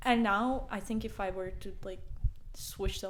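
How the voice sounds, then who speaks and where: A woman speaks with a Latvian accent. Her intonation stays fairly even. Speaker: podcast co-host. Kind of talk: casual chat.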